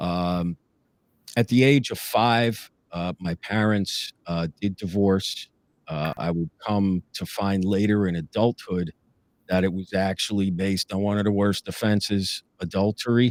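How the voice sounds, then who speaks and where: A man with an American accent, fairly low in pitch, at a fairly slow pace with fairly even intonation, in a very clean recording with a silent background and a dry, close sound with no echo. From northern New Jersey. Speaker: police lieutenant. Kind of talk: interview testimony. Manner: hesitant, many fillers.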